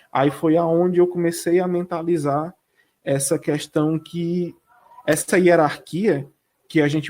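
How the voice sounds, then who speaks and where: A northeastern Brazilian accent at a fairly slow pace. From Northeast Brazil, Cariri region (Ceará). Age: 30s. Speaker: dance teacher and choreographer. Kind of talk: interview.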